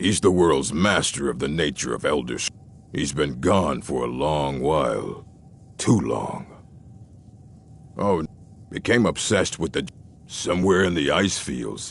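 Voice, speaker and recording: Clear background noise runs under a man's put-on character voice, pitched very deep and low. His pace is fairly slow, broken by long, frequent pauses. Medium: video game. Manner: curt, skeptical.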